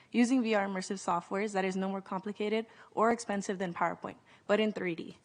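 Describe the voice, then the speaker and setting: A woman with a Californian accent at medium pitch, very fast and monotone with flat intonation, against a quiet background. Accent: Californian American English. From US West Coast, South Central Los Angeles. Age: 20s. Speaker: nonprofit youth leader. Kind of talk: conference presentation.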